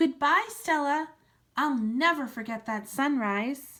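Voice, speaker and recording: A woman does a put-on character voice at a high pitch and a fairly slow pace. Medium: read story.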